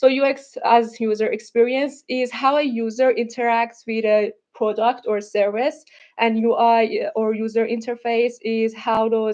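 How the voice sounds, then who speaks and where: A woman with a non-native accent speaks at a fairly slow pace. Her fairly high voice stays in a monotone with flat intonation. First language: not English. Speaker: UX/UI designer presenting a project. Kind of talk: presentation. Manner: halting, many fillers and restarts.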